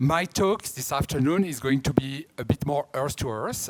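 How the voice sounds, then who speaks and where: A man with a strong French accent and ordinary pitch variation. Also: dry, close sound with no echo. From France. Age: 50s. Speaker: art auction house director. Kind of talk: conference talk.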